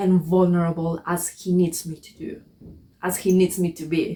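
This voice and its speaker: A woman's somewhat breathy, fairly low-pitched voice at a fairly slow pace, in monotone, flat intonation. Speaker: spiritual vlogger. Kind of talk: personal reflection monologue. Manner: halting, self-correcting.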